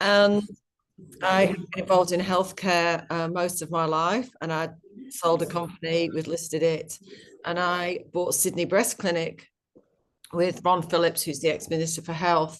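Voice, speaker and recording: Speaking in a British accent with a passionate tone, a woman keeps a fairly low pitch and monotone, flat intonation at a moderate pace. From UK. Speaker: company executive. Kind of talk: interview. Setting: webinar video call.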